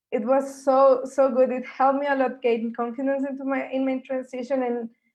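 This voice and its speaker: The speaker has a non-native accent and talks at a fairly quick pace. Intonation stays monotone and flat. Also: woman, high pitch for a woman. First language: not English. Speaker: science communicator, panel member. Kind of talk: panel discussion.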